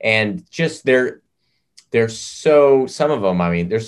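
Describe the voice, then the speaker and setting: Lively intonation with an American accent. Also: man. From US South, Nashville. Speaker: singer-songwriter. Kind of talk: casual chat.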